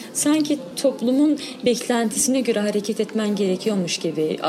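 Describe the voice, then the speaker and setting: A high-pitched woman at a moderate pace, with noticeable background noise. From Diyarbakır, Sur district. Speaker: cyclist, women's cycling group member. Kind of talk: interview.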